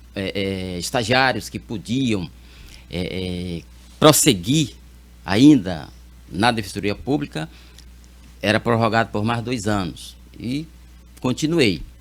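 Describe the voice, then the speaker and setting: With lively intonation and a fairly low pitch, a man speaks at a very slow pace, leaving long, frequent pauses. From Piauí, Brazil (Teresina). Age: 60s. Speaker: lawyer, judicial candidate. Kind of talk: interview. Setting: TV studio. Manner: halting, many fillers.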